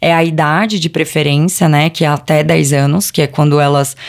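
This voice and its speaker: A woman's very deep, low-pitched voice. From Brazil, ABC Paulista (São Paulo state). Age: 30s. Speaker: presenter and communicator, mother. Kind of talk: interview conversation.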